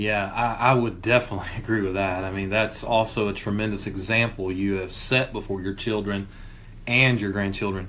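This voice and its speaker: A man shouts loudly at a fairly quick pace in a fairly low, flat monotone, his bright, sharp tone ringing with audible room echo. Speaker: church minister and podcast co-host. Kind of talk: casual discussion. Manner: loud, can sound like yelling.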